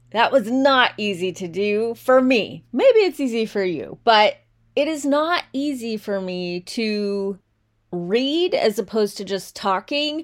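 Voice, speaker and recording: Very slowly and with lively intonation, a woman speaks in a fairly high voice in a very clean recording with a silent background. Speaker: podcast host and writer. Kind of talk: casual monologue. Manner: loud when excited.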